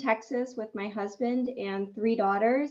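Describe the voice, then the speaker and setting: A woman talks at a moderate pace. Her pitch is fairly high, and her intonation stays fairly even. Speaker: NASA employee and mother. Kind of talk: panel presentation.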